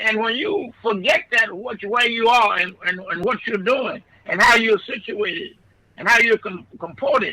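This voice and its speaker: The man's voice is raised and projected, with lively intonation. His pace is moderate. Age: 90s. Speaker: pastor. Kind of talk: radio interview. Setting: radio studio. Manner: halting, repeats words.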